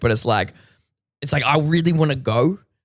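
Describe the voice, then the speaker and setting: A man with an Australian accent talks at a very fast pace. His tone is animated, with lively intonation. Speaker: rapper. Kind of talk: casual chat.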